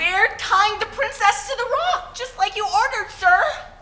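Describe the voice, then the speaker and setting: Clear background noise sits behind a put-on character voice at an extremely high pitch. The pace is moderate. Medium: stage play. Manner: gentle, drawling "well, now".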